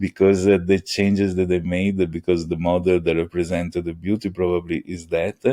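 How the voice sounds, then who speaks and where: A man with an Italian accent speaks at a moderate pace in a very deep, low pitch, his tone dark and mellow. His intonation stays monotone and flat, and the sound is dry and close with no echo. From Italy (Venice). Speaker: AI engineer. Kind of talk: podcast interview. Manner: halting, many fillers.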